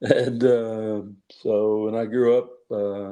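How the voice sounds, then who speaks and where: Spoken with flat, monotone intonation, the voice has a dark, mellow tone and a slight Southern US accent. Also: man. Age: 60s. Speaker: judge and author. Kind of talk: interview. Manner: halting, many fillers.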